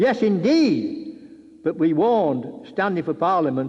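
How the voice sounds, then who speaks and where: A man's voice makes very wide pitch swings. Noticeable background noise runs underneath. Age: 80s+. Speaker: war veteran and campaigner. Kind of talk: political speech.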